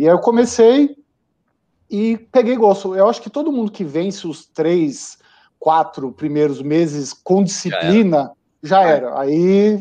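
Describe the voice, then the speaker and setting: Dark and mellow in tone, a man's high-pitched voice moves at a fairly slow pace with very wide pitch swings. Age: 40s. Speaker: amateur marathon runner and home brewer. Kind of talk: casual chat. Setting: live video stream.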